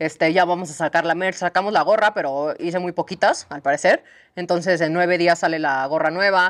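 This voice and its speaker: A woman with an unremarkable speaking voice talks at a fairly quick pace, her fairly low pitch moving in a fairly even intonation over a quiet background. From Mexico. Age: 30s. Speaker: horse sanctuary founder. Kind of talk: casual interview. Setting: on location at horse sanctuary. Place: farm machine. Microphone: lapel.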